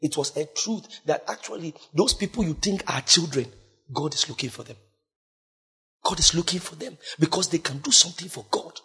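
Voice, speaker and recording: At a moderate pace with long, frequent pauses, a man speaks in a high-pitched, bright and sharp voice with an animated tone and lively intonation. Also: big swings in loudness. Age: young. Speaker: preacher. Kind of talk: sermon. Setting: church.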